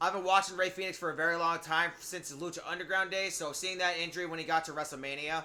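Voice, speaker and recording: A man talks at a very fast pace with hardly any pauses. His pitch is high, and his intonation is monotone and flat. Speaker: streamer. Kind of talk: live game stream chat. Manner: loud, exuberant.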